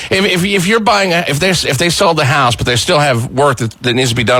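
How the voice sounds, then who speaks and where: Talking at a very fast pace, a man with a fairly high pitch moves through very wide pitch swings over noticeable background noise. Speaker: radio show host. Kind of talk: radio host banter and interview questions. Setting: radio studio.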